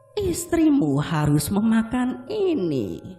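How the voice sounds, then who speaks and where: A put-on character voice, fairly high and hoarse. Faint music plays in the background. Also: very slow pace. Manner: menacing.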